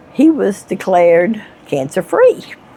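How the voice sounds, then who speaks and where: Over noticeable background noise, a woman speaks very slowly with lively intonation. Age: 70s. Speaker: homeowner. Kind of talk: casual chat. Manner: halting.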